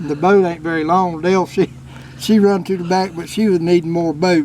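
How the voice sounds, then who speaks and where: A man speaks at a moderate pace in a high voice. Noticeable background noise runs behind him. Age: 60s. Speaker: commercial catfisherman. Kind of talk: casual storytelling interview. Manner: animated.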